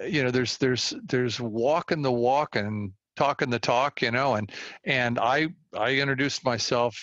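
A man with a Californian accent speaks at a moderate pace and medium pitch, with ordinary pitch variation and very even loudness, in a dry, close sound with no echo against a quiet background. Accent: Californian American. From US West Coast, Walnut Creek, California. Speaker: environmental philanthropist and community organizer. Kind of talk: interview conversation. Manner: halting, many fillers and repeated words.

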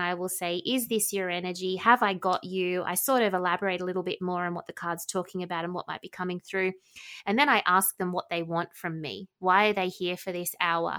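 Bright and sharp in tone, a woman with an Australian accent talks at a moderate pace in a very clean recording with a silent background. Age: 40s. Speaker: psychic medium. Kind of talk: interview.

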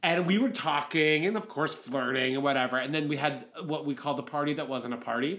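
Fairly quick and fairly high-pitched, a man with an American accent speaks with ordinary pitch variation. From Pittsburgh, Pennsylvania. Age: 30s. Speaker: podcast co-host. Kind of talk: casual chat.

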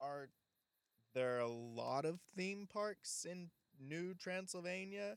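A man speaks very slowly in a high voice with lively intonation, leaving long, frequent pauses. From Alabama. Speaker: comedy podcast host. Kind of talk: comedic late-night talk show monologue. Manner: jokey, animated.

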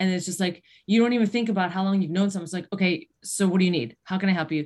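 A woman with an American accent speaks at a medium pitch, her pitch varying in an ordinary way. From Western New York. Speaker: podcast host, cancer exercise specialist. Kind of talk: interview.

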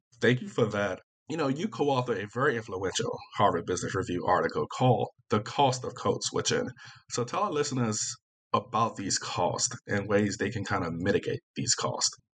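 In an American accent, a man with medium pitch speaks at a moderate pace with lively intonation in an ordinary speaking voice. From Virginia, US South. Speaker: podcast host. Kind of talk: interview.

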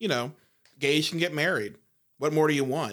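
A plain, everyday voice: a man with fairly high pitch, a fairly quick pace and ordinary pitch variation. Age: 30s. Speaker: podcast guest, LGBTQ advocate. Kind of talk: casual discussion. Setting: studio.

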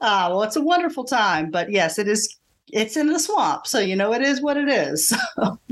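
In a Southern US accent, a woman with a fairly high voice speaks at a moderate pace, swinging very widely in pitch while her loudness stays very even. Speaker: podcast host and English teacher. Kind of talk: interview conversation.

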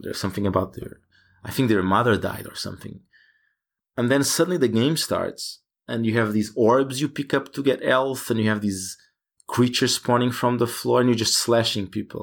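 Spoken with a Portuguese accent at a fairly quick pace, the voice has ordinary pitch variation on a very clean recording with a silent background. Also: man, medium pitch for a man. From Portugal. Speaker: game developer. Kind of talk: interview. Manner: hesitant, many fillers.

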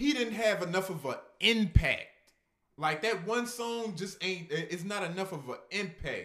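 With a bright, sharp tone and lively intonation, a man talks at a high pitch and a moderate pace. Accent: American. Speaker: podcast co-host. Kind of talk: casual chat.

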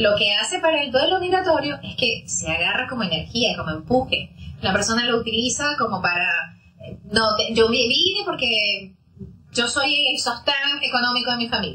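A woman's high voice at a moderate pace with very wide pitch swings and noticeable background noise. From Venezuela. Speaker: psychologist. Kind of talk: interview, explanatory.

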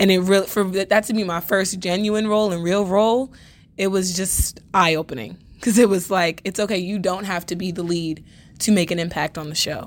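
A woman with an American accent talks in an unremarkable speaking voice with fairly even intonation, on a very clean recording with a silent background. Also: medium pitch for a woman, fairly quick pace. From New York City (Bronx). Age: young. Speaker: acting student. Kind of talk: casual interview.

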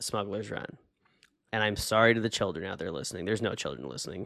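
There is vocal fry in this man's fairly low-pitched voice. The recording is very clean, with a silent background. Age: 30s. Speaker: podcast co-host. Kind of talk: casual chat. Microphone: new webcam.

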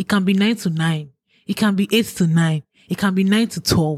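Somewhat breathy, a woman speaks with ordinary pitch variation in a dry, close sound with no echo. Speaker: YouTuber. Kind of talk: casual chat.

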